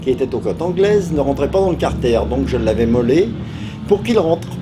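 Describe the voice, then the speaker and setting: A man speaks with lively intonation, with audible room echo. Music plays in the background. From France, Paris area (Aubervilliers). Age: 70s. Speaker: retired motorcycle racer. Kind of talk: interview. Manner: hesitant, many filler sounds.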